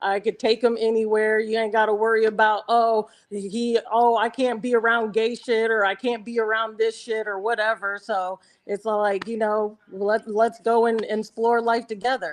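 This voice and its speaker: At a moderate pace with hardly any pauses, the voice stays monotone and flat in a very clean recording with a silent background. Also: woman, fairly high pitch for a woman. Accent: American. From US Midwest, Nebraska. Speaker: dating show guest. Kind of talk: casual chat.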